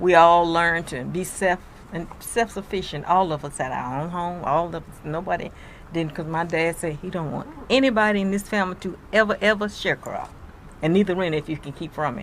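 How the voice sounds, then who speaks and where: With a Mississippi accent, a woman talks at a fairly quick pace in a fairly low pitch with ordinary pitch variation. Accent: Southern US, Mississippi. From US South, Mississippi. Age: 80s+. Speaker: elderly interviewee sharing life story. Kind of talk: interview, personal recollection.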